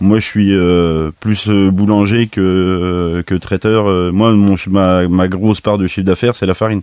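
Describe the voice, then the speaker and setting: A man speaks here. His intonation stays fairly even. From France, Nièvre. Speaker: master baker and bakers' union head. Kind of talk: radio interview. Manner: halting.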